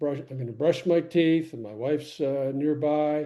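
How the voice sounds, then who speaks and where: At a fairly slow pace, a man speaks with a dark, mellow tone and fairly high pitch. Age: 80s+. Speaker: podcast co-host. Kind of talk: casual chat. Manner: halting.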